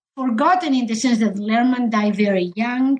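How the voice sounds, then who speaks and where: Somewhat breathy and fairly high-pitched, a woman speaks with a Spanish accent and ordinary pitch variation. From Spain. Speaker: historian of science. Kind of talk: interview.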